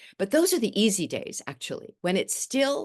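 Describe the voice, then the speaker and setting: Against a quiet background, a woman's voice moves through very wide pitch swings. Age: 70s. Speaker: novelist. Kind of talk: interview. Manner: halting.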